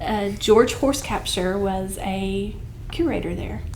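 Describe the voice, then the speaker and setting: A woman's lively intonation at a fairly slow pace, with audible room echo. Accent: Southern Appalachian. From Southwest Virginia (Lee County). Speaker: arts center director. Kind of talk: podcast interview conversation.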